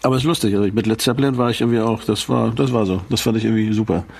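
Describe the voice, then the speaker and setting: Rushing along at a very fast pace, a man speaks at a medium pitch with ordinary pitch variation. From Schleswig, northern Germany. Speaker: rock musician, podcast co-host. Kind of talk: casual chat.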